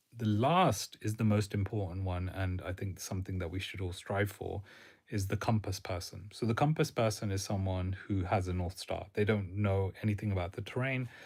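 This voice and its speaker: On a very clean recording with a silent background, a man speaks at a moderate pace in a fairly low, somewhat breathy voice. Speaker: career advice creator. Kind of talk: livestream talk. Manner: monotone.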